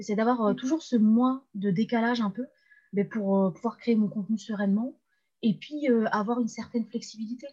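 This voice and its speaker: Fairly high in pitch yet dark and mellow in tone, a woman's somewhat breathy voice moves at a fairly quick pace with ordinary pitch variation. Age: 20s. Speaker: freelance web writer and LinkedIn coach. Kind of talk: casual interview.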